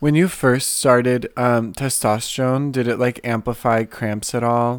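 A man's medium-pitched voice, a plain, everyday voice, at a moderate pace with fairly even intonation. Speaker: podcast co-host. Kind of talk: casual chat.

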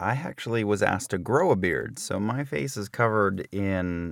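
A man's ordinary speaking voice with an American accent, fairly low in pitch, with lively intonation and a moderate pace. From New Jersey. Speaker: voiceover actor and director, podcast host. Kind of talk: casual chat, comedic banter. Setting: studio. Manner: joking, playful.

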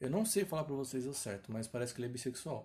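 This man's voice carries a dark, mellow tone. There is some breathiness to it. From São Paulo, Brazil. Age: 20s. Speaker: singer and podcast host. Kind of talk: casual solo podcast monologue.

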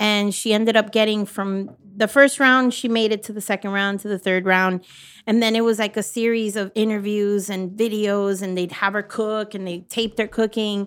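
A woman with an American accent has an ordinary speaking voice at a fairly high pitch. She talks at a moderate pace with fairly even intonation on a very clean recording with a silent background. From Miami, Florida. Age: 40s. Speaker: food truck owner. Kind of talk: casual chat.

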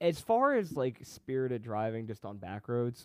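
With lively intonation and a medium pitch, a man talks in an ordinary speaking voice. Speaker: guest. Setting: video call.

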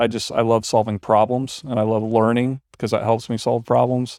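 Fairly quick and monotone with flat intonation, a man talks in a dark, mellow tone. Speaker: podcast co-host. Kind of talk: casual technical discussion. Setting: video call.

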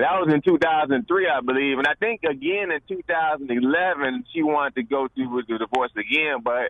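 A man with an unremarkable speaking voice, fairly high pitch and lively intonation, at a moderate pace with hardly any pauses. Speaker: caller. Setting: phone call.

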